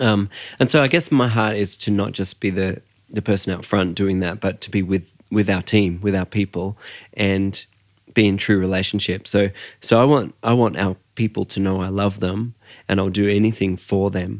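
Against a silent background on a very clean recording, a man with an Australian accent speaks at a fairly low pitch and a moderate pace with fairly even intonation. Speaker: worship and creative team pastor, podcast host. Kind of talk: interview conversation.

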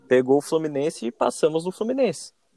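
The recording is dry and close with no echo, as a man with a dark, mellow tone and fairly high pitch talks at a fairly quick pace. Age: 20s. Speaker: fan page admin. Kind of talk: casual chat.

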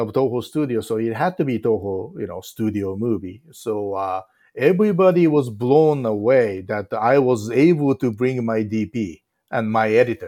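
A man with a Japanese accent speaks at a medium pitch with ordinary pitch variation and a dark, mellow tone. The recording is very clean, with a silent background. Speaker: film director. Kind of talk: interview.

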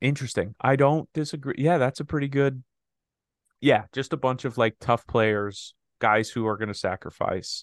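A man with an ordinary speaking voice speaks at a moderate pace and medium pitch with ordinary pitch variation, in a dry, close sound with no echo and a quiet background. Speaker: podcast host. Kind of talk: casual banter about sports and culture. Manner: joking, playful.

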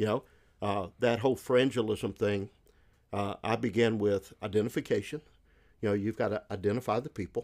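A man with a Southern US accent talks at a fairly quick pace, fairly low in pitch with fairly even intonation. He leaves long, frequent pauses on a very clean recording with a silent background. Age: 60s. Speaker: missionary and former pastor. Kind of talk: casual ministry conversation.

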